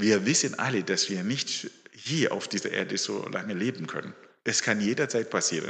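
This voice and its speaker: A man speaks at a moderate pace in a normal speaking voice, fairly low in pitch with ordinary pitch variation. The background is quiet. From Zimbabwe. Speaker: lay preacher. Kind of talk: sermon.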